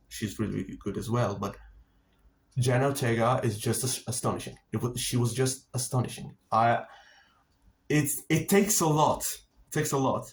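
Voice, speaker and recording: A somewhat breathy man's voice at medium pitch, moderate pace and ordinary pitch variation, with long, frequent pauses. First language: Italian. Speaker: film and TV reviewer. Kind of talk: casual monologue review. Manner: halting, many fillers and repetitions.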